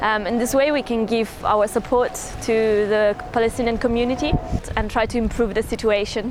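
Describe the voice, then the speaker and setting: Over noticeable background noise, a woman talks fairly quickly in a fairly high voice. Her intonation is fairly even, and the sound is dry with no echo. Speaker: volunteer. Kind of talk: testimony. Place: waterside.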